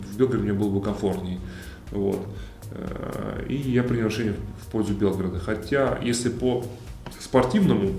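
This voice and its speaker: A man's fairly low voice at a moderate pace, with fairly even intonation, long, frequent pauses, and noticeable background noise. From Russia, Kemerovo. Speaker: former volleyball player turned businessman. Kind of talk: casual interview.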